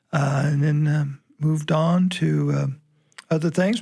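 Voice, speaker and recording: A man speaks at a moderate pace with a Kentucky accent. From Kentucky, Anderson County. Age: 60s. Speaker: farm organization writer. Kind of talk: casual chat. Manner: halting, many fillers.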